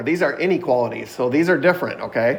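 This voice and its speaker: There is audible room echo as a man talks very fast. His pitch varies in an ordinary way. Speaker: math teacher. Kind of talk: online class lecture. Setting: video call.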